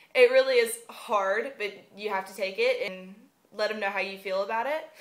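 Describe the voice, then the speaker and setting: A woman speaks in a Southern US accent. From US South. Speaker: vlogger, university student. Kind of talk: casual vlog monologue. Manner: unscripted, frequent um fillers.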